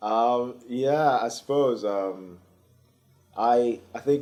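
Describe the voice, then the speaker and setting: A man speaks with a dark, mellow tone. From England. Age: young. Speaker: youth leadership organizer. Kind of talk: interview. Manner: hesitant, many fillers.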